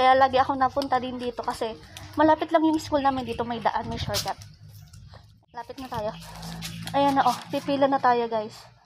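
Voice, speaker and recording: Over noticeable background noise, a woman with a high voice talks at a fairly quick pace, her intonation fairly even, her loudness swinging widely, and her speech broken by long, frequent pauses. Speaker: vlogger. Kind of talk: casual vlog narration. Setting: outdoors. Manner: soft-spoken.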